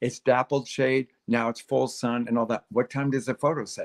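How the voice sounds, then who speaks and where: A man with an American accent speaks fairly quickly at a medium pitch, in a monotone, flat intonation. The sound is dry and close with no echo. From Texas. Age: 60s. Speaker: gardening expert. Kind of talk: casual interview chat on a livestream. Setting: live online stream.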